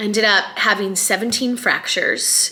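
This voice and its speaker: Pitch varies in an ordinary way at a moderate pace. Noticeable background noise is present. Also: woman. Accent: American. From US Midwest, Chicago. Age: 40s. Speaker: vlogger. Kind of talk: casual vlog talk.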